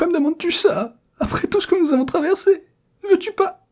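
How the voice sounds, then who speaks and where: Moving at a moderate pace, a man performs a put-on character voice. His pitch is extremely high. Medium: read story. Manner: mock-tearful, then grumbling.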